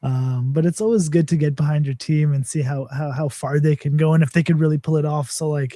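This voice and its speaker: With a Canadian accent, a man speaks at a fairly quick pace in a fairly high pitch, his dark, mellow tone somewhat breathy and his pitch variation ordinary. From Canada. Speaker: crypto project representative. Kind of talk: live stream AMA chat.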